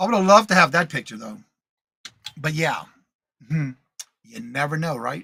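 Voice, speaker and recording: At a moderate pace, a man with a fairly high pitch speaks in a bright, sharp tone, with big swings in loudness and long, frequent pauses. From Louisiana. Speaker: live show co-host, reseller. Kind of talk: casual chat.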